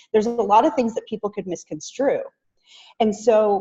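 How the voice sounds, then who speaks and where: This woman's intonation is lively. There's a somewhat breathy quality to how she sounds. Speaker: business trainer. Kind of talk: online training webinar. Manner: fast.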